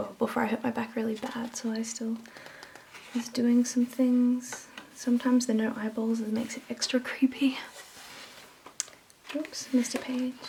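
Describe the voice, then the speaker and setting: Soft-spoken and calm, the voice has a relaxed tone and monotone, flat intonation at a moderate pace. Long, frequent pauses break up the speech against noticeable background noise. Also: woman, high pitch for a woman. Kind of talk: casual talk to camera. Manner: calm, relaxed.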